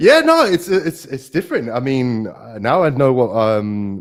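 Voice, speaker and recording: A man speaks with a South London accent. His pace is moderate. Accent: South London accent, noticeable. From South London, England. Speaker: design operations consultant and podcaster. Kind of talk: live webinar interview.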